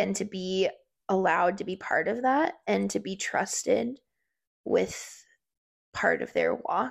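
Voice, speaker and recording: A woman speaks at a fairly slow pace with long, frequent pauses. The recording is very clean, with a silent background. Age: 20s. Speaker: youth minister. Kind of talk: casual chat.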